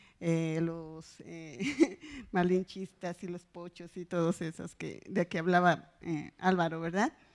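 Very slow speech from a woman with a fairly low pitch, fairly even intonation and big swings in loudness, over a quiet background. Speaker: professor; conference presenter. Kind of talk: academic conference talk. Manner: serious, formal. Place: hall.

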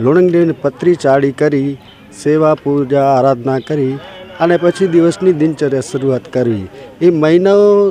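Noticeable background noise runs under this recording of a man. His voice sits fairly high, with ordinary pitch variation. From Kutch, Gujarat. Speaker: religious devotee. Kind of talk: interview statement.

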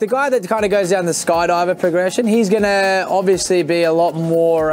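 Faint music sits in the background while a man speaks. His pace is moderate and his pitch variation ordinary. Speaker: skydiving tunnel coach. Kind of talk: interview answer. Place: hall.

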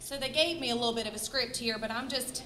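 At a fairly quick pace, a woman speaks in a raised, projected voice over noticeable background noise, with audible room echo. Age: 30s. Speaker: nursing teacher and cancer survivor. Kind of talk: speech to audience.

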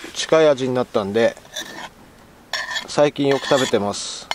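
A man with a Tochigi accent is heard in a dry sound with no echo amid noticeable background noise. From Tochigi, Japan. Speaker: outdoor camping vlogger. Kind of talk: casual talk to camera. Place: waterside. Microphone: phone near.

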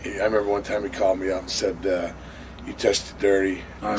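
Over noticeable background noise, a man speaks at a fairly quick pace. His pitch sits fairly low. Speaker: interviewee. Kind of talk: interview answer. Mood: candid, somewhat aggrieved. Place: studio.

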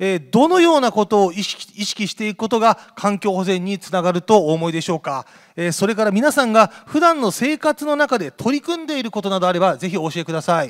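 Over a quiet background, a man with a high pitch and very wide pitch swings talks at a fairly quick pace with hardly any pauses. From Kumamoto, Japan (Yatsushiro); Kumamoto, Japan. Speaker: event emcee. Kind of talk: event hosting. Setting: stage with audience. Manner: formal. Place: hall. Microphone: handheld.

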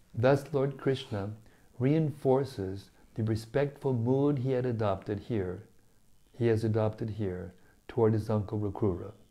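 A man's dark, mellow tone, fairly slow pace and ordinary pitch variation. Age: 70s. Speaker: spiritual teacher. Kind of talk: scripture reading with commentary. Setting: studio. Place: home room. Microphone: lapel.

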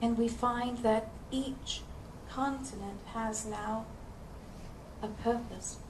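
A woman's fairly high voice, monotone and flat, at a very slow pace with long, frequent pauses, amid noticeable background noise. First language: English (speaking Russian). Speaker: spiritual channeler; speaker. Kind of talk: channeled lecture. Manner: slow, in short phrases paused for interpretation. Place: hall. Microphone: headset.

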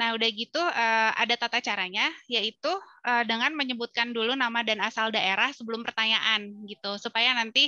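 Over a quiet background, dry with no echo, a woman at fairly high pitch speaks in a bright, sharp tone. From Bandung, Indonesia; Indonesia. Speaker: film festival curator and moderator; moderator. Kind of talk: webinar moderation. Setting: video call. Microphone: headset.

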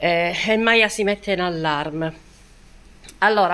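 A woman of medium pitch speaks at a moderate pace. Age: 60s. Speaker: lifestyle vlogger. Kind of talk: casual vlog talk to viewers. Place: home room. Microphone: phone near.

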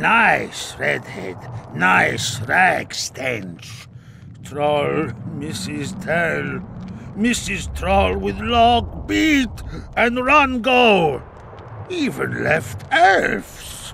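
A put-on character voice at a very slow pace over clear background noise. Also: man. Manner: broken pidgin speech, simple-minded.

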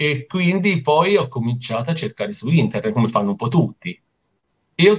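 Against a quiet background, a somewhat breathy man speaks with very wide pitch swings. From Italy, island of Elba (Tuscany); Tuscany, Italy. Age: 50s. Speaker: amateur windsurfer and surfer; interviewee. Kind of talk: interview. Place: home room. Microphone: video call.

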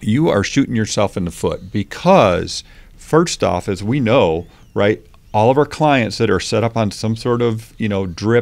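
Lively intonation marks this man's speech. He keeps a moderate pace. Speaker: guest. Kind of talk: interview answer. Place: studio. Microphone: studio mic.

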